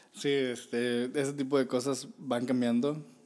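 Fairly slow and monotone, flat in intonation, a man speaks at a medium pitch. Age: 30s. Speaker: podcast co-host. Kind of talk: casual chat.

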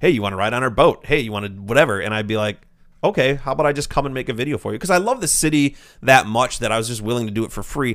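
On a very clean recording with a silent background, a man at medium pitch talks at a very fast pace with ordinary pitch variation. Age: 30s. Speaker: YouTuber and vlogger. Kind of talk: casual chat.

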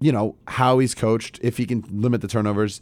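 A man speaks in a plain, everyday voice at medium pitch and a fairly quick pace. The recording is very clean, with a silent background. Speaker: college radio sports show host. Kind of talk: casual sports talk show. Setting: studio.

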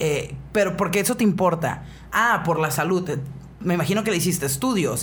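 Audible room echo surrounds a woman who speaks with a northern Mexican accent and ordinary pitch variation. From Mexicali, Baja California, Mexico. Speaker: radio host. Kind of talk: casual chat. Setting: studio.

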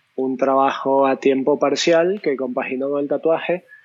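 This man has an ordinary speaking voice, pitched fairly high. He talks at a moderate pace. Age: 20s. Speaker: tattoo artist and illustrator. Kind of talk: casual interview.

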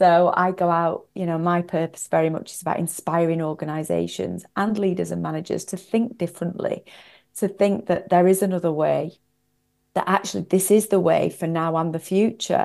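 With a Northwest English accent, a woman speaks at a fairly low pitch with fairly even intonation. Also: moderate pace. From northwest England. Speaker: executive coach and author. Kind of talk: interview.

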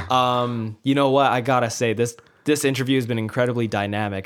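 A normal speaking voice in a Canadian accent. The pace is fairly quick and the intonation fairly even. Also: man. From Canada, child of immigrants. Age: 20s. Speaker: podcast host. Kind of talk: casual interview.

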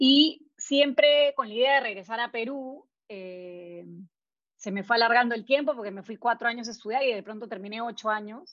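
This woman's voice sits fairly high in pitch with ordinary pitch variation. She speaks at a moderate pace. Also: big swings in loudness. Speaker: entrepreneur, graphic designer. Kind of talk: interview testimony. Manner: halting.

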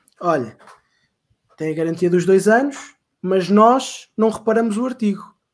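Lively intonation carries speech delivered at a fairly slow pace. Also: man. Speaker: podcast co-host, retail customer service worker. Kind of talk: casual chat.

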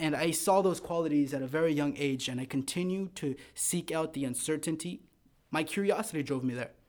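Very cleanly recorded against a silent background, a man with an American accent and an ordinary speaking voice talks at a fairly quick pace, his fairly high pitch showing ordinary variation. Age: 20s. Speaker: loan officer. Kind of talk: casual chat.

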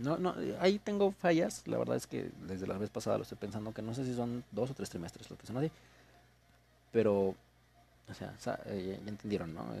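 Using a Mexican accent, a man with a dark, mellow tone and fairly low pitch speaks with lively intonation, big swings in loudness, and long, frequent pauses. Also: moderate pace. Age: 20s. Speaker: university student podcaster. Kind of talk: casual monologue. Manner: rambling, halting.

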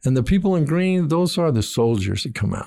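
A man's dark, mellow tone with lively intonation, on a very clean recording with a silent background. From Argentina. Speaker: missions pastor. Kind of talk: testimony. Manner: halting.

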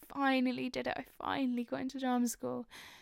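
A woman with a London accent speaks in a high pitch with monotone, flat intonation. The recording is very clean, with a silent background. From North London. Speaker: podcast host. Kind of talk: casual personal monologue.

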